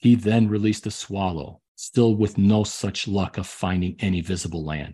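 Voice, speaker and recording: Over a quiet background, a man with an American accent speaks in a fairly low pitch with a dark, mellow tone. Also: ordinary pitch variation, moderate pace. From Chicago area, US. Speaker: podcast host and history storyteller. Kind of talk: history documentary narration. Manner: measured, storytelling cadence; enthusiastic, dramatic when reading quoted passages.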